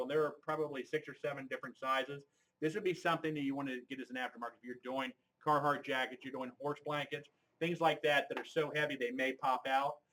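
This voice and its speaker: Talking at a very fast pace, a man uses a fairly high pitch. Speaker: embroidery equipment sales demonstrator. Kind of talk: live webinar product demonstration. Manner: loud; animated.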